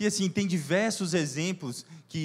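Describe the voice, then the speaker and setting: A man at a very slow pace with ordinary pitch variation, in a very clean recording with a silent background. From Brazil, Minas Gerais. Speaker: preacher. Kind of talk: sermon. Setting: church service.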